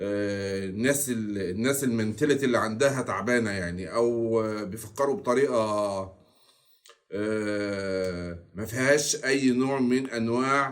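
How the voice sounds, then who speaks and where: With an Egyptian accent, a man speaks very slowly at medium pitch with ordinary pitch variation. Audible room echo surrounds his voice. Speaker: football commentary youtuber. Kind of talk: casual commentary monologue. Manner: deliberately slower and louder than usual.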